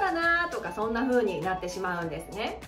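A woman's voice with very wide pitch swings, audible room echo and light background noise. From Hokkaido, Japan. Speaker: speaking coach; narrator, former radio announcer. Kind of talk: educational talk to camera. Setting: home living room. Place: home room.

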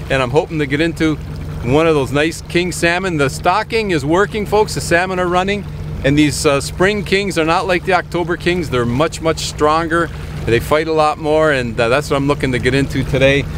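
Over noticeable background noise, a man talks at a fairly quick pace with ordinary pitch variation in a dry sound with no echo. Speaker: fishing host. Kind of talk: tutorial. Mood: cheerful, relaxed. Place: boat. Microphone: phone near.

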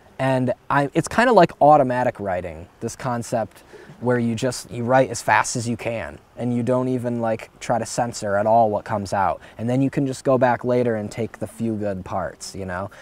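A man with an American accent has a plain, everyday voice at a medium pitch. He speaks at a moderate pace with ordinary pitch variation. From United States. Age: young. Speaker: poet and video maker. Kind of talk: interview monologue. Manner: casual, filler-heavy.

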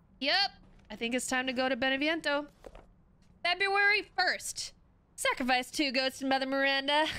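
Raised and projected, a woman's high, bright, sharp voice keeps very even loudness at a moderate pace, with ordinary pitch variation and long, frequent pauses. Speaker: video game streamer. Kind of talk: live gameplay commentary. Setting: livestream. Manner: animated, excitable. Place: home room.

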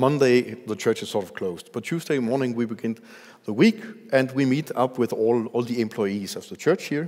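The speech comes at a moderate pace over a quiet background. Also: man. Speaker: pastor. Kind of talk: sermon. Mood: warm, smiling. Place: church. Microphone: headset.

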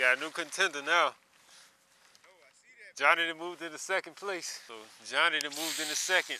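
A man speaks at a moderate pace in a dry sound with no echo over noticeable background noise. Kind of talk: casual vlog chat. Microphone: phone near.

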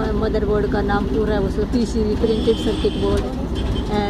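A woman speaks at a fairly slow pace, her voice dry with no echo, over loud background noise. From village on the outskirts of Delhi. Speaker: former electronics assembly worker. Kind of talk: interview answer. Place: street. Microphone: phone near.

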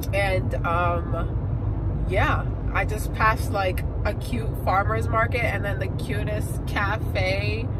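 Loud background noise sits behind a woman whose voice has a dry sound with no echo. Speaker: travel vlogger. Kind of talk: casual vlog chat. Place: car. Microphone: phone near.

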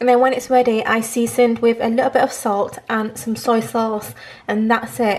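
The speaker uses a British accent with monotone, flat intonation at a moderate pace. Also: woman. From UK. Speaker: vlogger. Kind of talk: casual vlog. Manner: chatty, casual. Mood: relaxed, slightly reflective.

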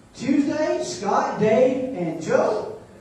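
Strong room echo surrounds a man whose pitch swings very widely. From Alabama. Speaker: stand-up comedian and army officer. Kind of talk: stand-up comedy set. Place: hall.

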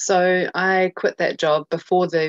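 With a New Zealand accent and monotone, flat intonation, the voice comes through with a dry sound with no echo and a quiet background. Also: woman. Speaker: journalist and documentary filmmaker; journalist. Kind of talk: interview. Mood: earnest, somewhat frustrated. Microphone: video call.

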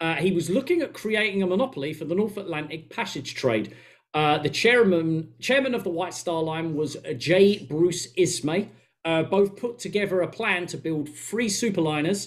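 Against a quiet background, a man with an Essex accent speaks in a high pitch with lively intonation. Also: moderate pace. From England. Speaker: podcast co-host. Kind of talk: casual chat. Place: home room. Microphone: headset.

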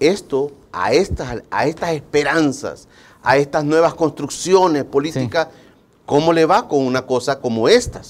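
A man with an unremarkable speaking voice, fairly high in pitch, with ordinary pitch variation, a fairly slow pace and big swings in loudness. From El Salvador. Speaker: TV interview host. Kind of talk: morning TV interview show. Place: studio. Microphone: lapel.

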